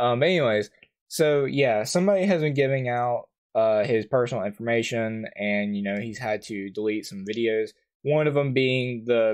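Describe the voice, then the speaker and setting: The background stays quiet. A male voice talks at a moderate speed. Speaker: YouTuber. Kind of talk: commentary. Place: home room.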